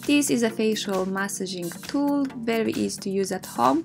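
Music plays behind the speaker. She is a woman with a medium pitch. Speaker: beauty vlogger. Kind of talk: skincare product review to camera.

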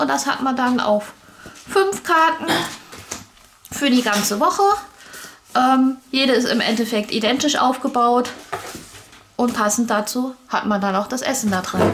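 With light background noise behind her, a woman speaks at a fairly slow pace in a high pitch, using lively intonation and long, frequent pauses. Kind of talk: casual unboxing explanation.

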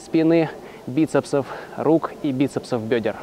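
Moderately paced, a man talks with a dry sound with no echo. Light background noise is present. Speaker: fitness trainer. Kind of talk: tutorial. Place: forest. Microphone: lapel.

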